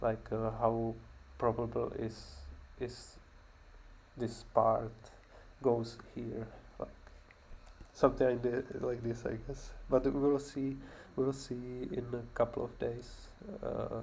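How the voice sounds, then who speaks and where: Speaking at a very slow pace with long, frequent pauses, a man talks in a non-native accent. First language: not English. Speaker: programmer learning machine learning on stream. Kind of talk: casual screen-share walkthrough. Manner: halting, many fillers and repeats.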